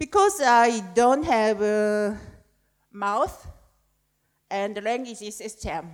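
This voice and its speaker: In a Korean accent, a woman talks at a very slow pace with long, frequent pauses and ordinary pitch variation. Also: fairly high pitch for a woman. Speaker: poet. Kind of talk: panel discussion. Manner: halting.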